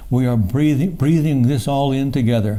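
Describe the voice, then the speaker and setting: A man's fairly slow speech is heard with audible room echo. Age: 70s. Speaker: poet. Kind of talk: poetry reading. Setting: book launch with audience. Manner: halting.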